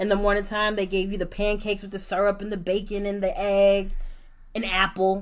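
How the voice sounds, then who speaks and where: A woman with a New York accent, talking at a fairly quick pace in a flat, monotone delivery. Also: medium pitch for a woman. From New York, Brooklyn. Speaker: podcast co-host. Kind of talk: casual chat.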